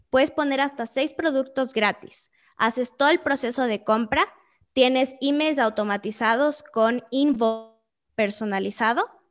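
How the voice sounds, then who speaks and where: Over music in the background, a woman talks fairly slowly at a high pitch with ordinary pitch variation. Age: 20s. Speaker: entrepreneur. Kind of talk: interview.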